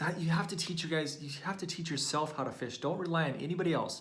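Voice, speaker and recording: Audible room echo surrounds this man's voice. He talks at a very fast pace with fairly high pitch. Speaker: business coach for chiropractors. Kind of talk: live training video. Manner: animated.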